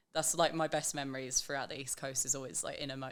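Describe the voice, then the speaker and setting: With an English accent, a woman speaks in a very deep, low pitch and a monotone, flat intonation. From England. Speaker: backpacker on working holiday. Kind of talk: casual chat.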